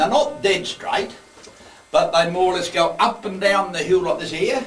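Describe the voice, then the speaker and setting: Noticeable background noise surrounds a man speaking with a strong Australian accent. His pitch is high and his intonation lively. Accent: broad Australian. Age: old. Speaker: opal miner and underground tour guide. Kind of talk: guided tour talk. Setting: underground mine. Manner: talkative.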